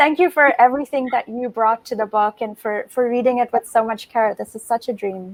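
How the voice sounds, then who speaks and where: Speaking at a fairly quick pace with hardly any pauses, a woman uses a high voice with ordinary pitch variation, recorded very cleanly against a silent background with a dry, close sound and no echo. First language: Bengali. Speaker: novelist. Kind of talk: author conversation. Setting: livestream.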